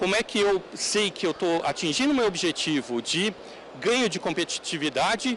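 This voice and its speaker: There is noticeable background noise as a man talks at a moderate pace with lively intonation. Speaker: conference speaker on technology. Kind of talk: conference talk. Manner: halting, many fillers.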